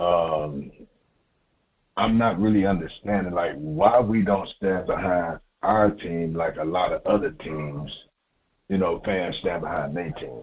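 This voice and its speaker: His voice is very deep and low in pitch. The man talks at a fairly slow pace with ordinary pitch variation. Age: 60s. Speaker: caller. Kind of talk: phone-in call.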